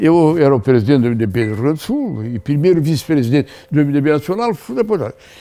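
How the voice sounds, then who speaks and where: With music in the background, a man speaks at a very fast pace with very wide pitch swings. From Brazil, Rio Grande do Sul. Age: 80s+. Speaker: veteran politician, former senator. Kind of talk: interview answer.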